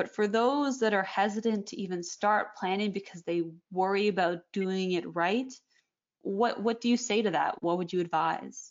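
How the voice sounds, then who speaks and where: In a Canadian accent, a normal speaking voice moves at a moderate pace with ordinary pitch variation. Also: woman, medium pitch for a woman. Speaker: magazine editor, podcast host. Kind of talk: interview.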